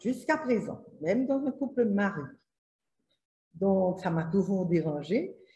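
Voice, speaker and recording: A woman speaks at a fairly slow pace in a dark, mellow tone. Her voice is somewhat breathy, with lively intonation. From Haiti. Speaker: author. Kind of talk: interview answer.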